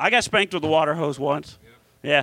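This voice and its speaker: This man has an American accent and a fairly high pitch with vocal fry. His tone is bright, sharp and animated. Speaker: podcast host and comedian. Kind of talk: live comedy podcast chat with crude joking and riffing, audience present. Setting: live in front of audience at comedy club. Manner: animated, jokey, rambling; irreverent crude roasting banter.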